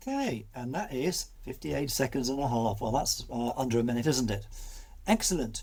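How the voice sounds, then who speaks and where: A man with a British accent keeps to a moderate pace. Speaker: video editing tutor. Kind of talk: tutorial.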